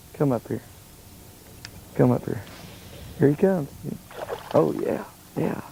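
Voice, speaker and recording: Amid noticeable background noise, a man speaks at a moderate pace, leaving long, frequent pauses. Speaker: fishing show host. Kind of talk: fishing show narration. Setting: outdoors.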